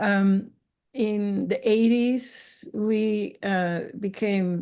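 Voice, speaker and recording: Against a quiet background, a woman with a Dutch accent speaks at medium pitch in a dark, mellow tone with fairly even intonation. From Netherlands. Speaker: interviewee sharing cancer healing journey. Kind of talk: interview testimony.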